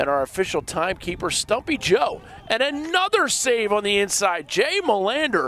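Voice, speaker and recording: At a moderate pace, a man projects a raised, high-pitched voice with very wide pitch swings. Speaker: play-by-play sports commentator. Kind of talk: live commentary. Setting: outdoors. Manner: animated.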